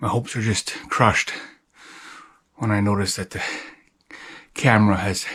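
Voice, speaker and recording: A man with a fairly low pitch speaks at a moderate pace in a monotone, flat way. He takes long, frequent pauses. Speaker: outdoor vlogger. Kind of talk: outdoor vlog narration. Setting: outdoors in woods. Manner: stuttering, halting.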